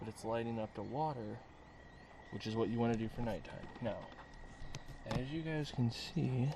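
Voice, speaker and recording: A man speaks at a medium pitch with ordinary pitch variation and long, frequent pauses. Audible room echo surrounds his voice. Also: moderate pace. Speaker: fishing vlogger. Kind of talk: casual vlog narration. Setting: outdoors in a boat at night.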